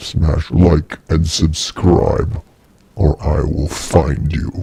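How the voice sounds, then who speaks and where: A man puts on a character voice with a very deep, low pitch and a very slow pace. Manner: menacing, threatening.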